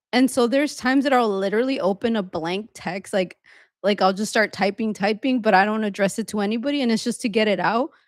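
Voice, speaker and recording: Very fast and fairly high-pitched, a woman speaks with ordinary pitch variation on a very clean recording with a silent background. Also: dry, close sound with no echo. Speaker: host's wife, co-discussing marriage. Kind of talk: casual chat. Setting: live stream at home. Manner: fast when venting.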